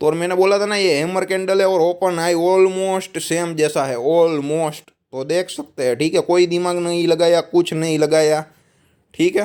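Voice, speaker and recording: This speaker has a Gujarati accent. The pitch varies in an ordinary way. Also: man. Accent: Gujarati accent in Hindi. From Gujarat, India. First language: Gujarati (speaking Hindi). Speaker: stock market analyst. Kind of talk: market analysis video. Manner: casual, conversational.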